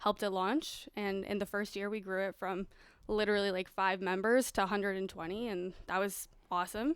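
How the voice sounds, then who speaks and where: Speaking in a plain, everyday voice, a woman keeps to a medium pitch and a fairly quick pace. Her intonation is fairly even, and the recording is very clean, with a silent background. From Mexico, moved to Canada as a child. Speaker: real estate professional. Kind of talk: casual podcast interview.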